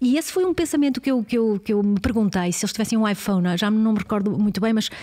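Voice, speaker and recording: Very fast, somewhat breathy speech from a woman with a European Portuguese accent, medium in pitch with a dark, mellow tone, in a very clean recording with a silent background. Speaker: researcher on the future of work. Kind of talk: casual interview conversation.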